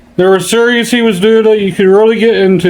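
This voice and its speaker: A man with ordinary pitch variation, in a room with audible echo. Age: 50s. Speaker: YouTuber. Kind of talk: casual vlog monologue. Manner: halting.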